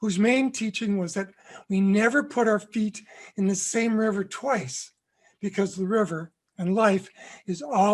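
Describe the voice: Plain reading aloud with fairly even intonation comes through over a quiet background.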